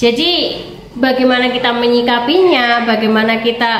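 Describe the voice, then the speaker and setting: Audible room echo and noticeable background noise surround a woman speaking at a high pitch with ordinary pitch variation. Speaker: YouTuber. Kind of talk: casual vlog commentary.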